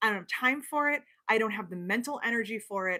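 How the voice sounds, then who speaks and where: Bright and sharp in tone, a woman with a slight New York accent speaks at a fairly high pitch with lively intonation. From New York (not NYC boroughs). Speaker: sewing pattern designer and livestream host. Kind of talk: casual livestream chat. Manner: fast.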